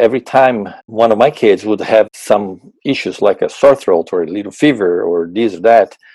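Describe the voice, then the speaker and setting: With a Portuguese accent, a man of medium pitch speaks at a moderate pace with lively intonation, a dark, mellow tone and hardly any pauses, in a dry, close sound with no echo. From Brazil. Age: 50s. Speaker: purchasing manager. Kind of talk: interview.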